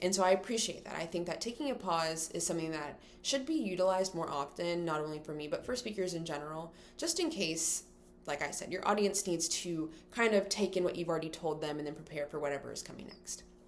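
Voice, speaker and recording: At a very fast pace, a woman speaks in a fairly low voice with ordinary pitch variation. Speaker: college student. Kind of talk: class speech to camera. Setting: recorded in front of a camera. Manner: vocal fillers.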